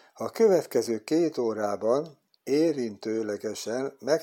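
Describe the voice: With a quiet background, the text is read aloud plainly, its intonation lively.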